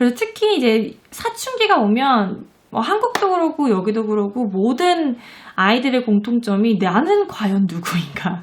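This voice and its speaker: Fairly slowly, a woman talks in a fairly high pitch with lively intonation. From South Korea. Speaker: parenting and education vlogger, mother. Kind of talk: casual talk to camera. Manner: hesitant, many fillers and restarts.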